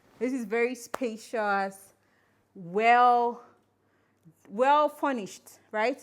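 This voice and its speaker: On a very clean recording with a silent background, a woman speaks in an animated tone with ordinary pitch variation. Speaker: travel vlogger. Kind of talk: vlog house tour. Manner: quiet, lowered voice.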